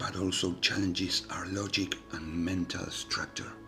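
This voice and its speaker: Music plays in the background as a man whispers at a fairly slow pace. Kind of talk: ASMR reflective narration. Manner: whispered.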